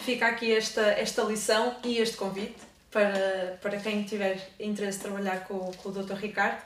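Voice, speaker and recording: A woman speaks at a medium pitch with monotone, flat intonation. Noticeable background noise and audible room echo fill the recording. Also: moderate pace. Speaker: student interviewer. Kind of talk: interview. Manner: reading aloud.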